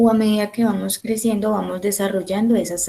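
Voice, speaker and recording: The woman is soft-spoken. Her pitch sits in the medium range. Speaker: teacher. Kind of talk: online class lecture. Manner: slow.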